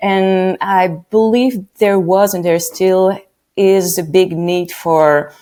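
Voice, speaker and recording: Very slowly, a woman speaks in a medium pitch with a dark, mellow tone and fairly even intonation. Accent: French. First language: French. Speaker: radio producer. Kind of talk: podcast interview.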